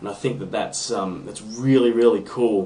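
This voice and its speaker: Amid audible room echo, a man with an Australian accent talks at a moderate pace, with a medium pitch and ordinary pitch variation. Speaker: guitar hobbyist submitting podcast video response. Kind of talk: casual video response monologue. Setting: home room (man cave). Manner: off the cuff, with many ums and ahs.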